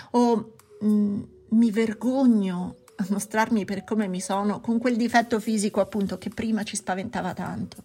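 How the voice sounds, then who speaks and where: A woman's somewhat breathy, fairly high voice with a dark, mellow tone and monotone, flat intonation. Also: moderate pace. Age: 40s. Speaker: psychologist podcast host. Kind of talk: podcast monologue.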